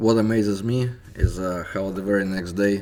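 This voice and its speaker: A man with a Russian accent. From Soviet Union. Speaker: independent history researcher. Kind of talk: scripted narration.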